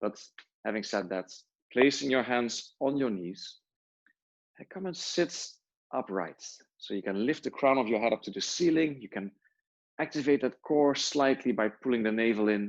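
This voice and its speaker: A man with a non-native accent speaks in a calm tone at medium pitch and a moderate pace, using lively intonation and long, frequent pauses. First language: not English. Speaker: yoga teacher. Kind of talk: guided yoga class. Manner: calm, instructive.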